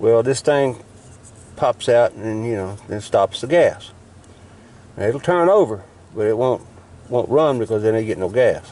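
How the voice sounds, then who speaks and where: With a Southern US accent and lively intonation, a man speaks at a fairly slow pace, pausing often and at length. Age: 60s. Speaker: YouTuber showing truck repairs. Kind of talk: casual how-to demonstration. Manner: halting, with fillers.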